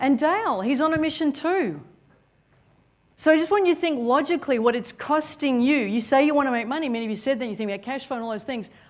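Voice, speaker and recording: Over a quiet background, a woman with an Australian accent talks very fast in a high pitch, her intonation lively and her tone animated and energetic. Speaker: business coach, seminar speaker. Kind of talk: motivational seminar talk. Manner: animated, energetic.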